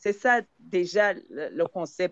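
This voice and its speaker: The voice belongs to a woman with a medium pitch. It sounds dry and close, with no echo. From Zambia. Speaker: palliative care participant. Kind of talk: discussion contribution in online session. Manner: halting, many hesitations and repetitions.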